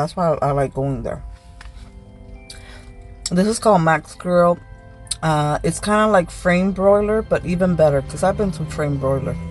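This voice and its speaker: A woman's fairly low voice at a moderate pace, with ordinary pitch variation and long, frequent pauses, faint background music, and a dry sound with no echo. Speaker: vlogger on work lunch break. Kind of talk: casual vlog chat. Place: car. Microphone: phone near.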